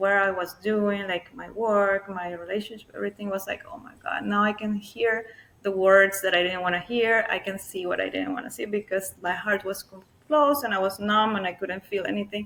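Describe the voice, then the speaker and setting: A woman's medium-pitched voice moves at a moderate pace with fairly even intonation. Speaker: somatic healing practitioner. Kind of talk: interview conversation. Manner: soft-spoken.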